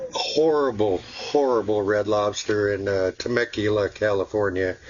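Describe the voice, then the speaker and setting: Against noticeable background noise, a man speaks at a moderate pace in a fairly low pitch with ordinary pitch variation. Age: 60s. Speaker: vlogger. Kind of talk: casual chat. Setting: outdoors, camped in backyard. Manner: halting, many fillers and repeats.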